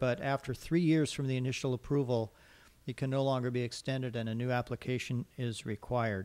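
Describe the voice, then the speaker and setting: The speaker moves at a fairly quick pace. Intonation stays fairly even. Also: man. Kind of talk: staff report at a public meeting. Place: hall. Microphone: podium.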